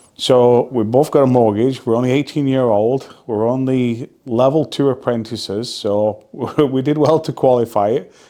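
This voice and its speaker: In a Lancashire accent, a man talks at a moderate pace with a medium pitch, a dark, mellow tone and fairly even intonation. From northern England, Burnley (Lancashire). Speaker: real estate investor. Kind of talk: casual vlog storytelling. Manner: relaxed with filler words.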